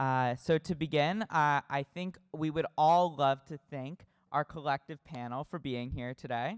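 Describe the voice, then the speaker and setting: A normal speaking voice with an American accent moves at a fairly slow pace with ordinary pitch variation. The recording is very clean, with a silent background and a dry, close sound with no echo. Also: man, fairly high pitch for a man, hardly any pauses. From California. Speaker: student moderator. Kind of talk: panel discussion.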